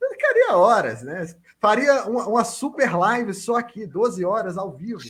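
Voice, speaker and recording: At a moderate pace, a man with a Minas Gerais accent speaks in a high pitch. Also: ordinary pitch variation. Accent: clear Minas Gerais. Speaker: sports podcast co-host. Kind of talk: podcast panel chat. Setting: video call.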